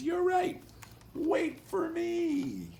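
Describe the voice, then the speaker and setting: A man does a put-on character voice that is squeaky and extremely high in pitch. Clear background noise sits behind him. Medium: read story.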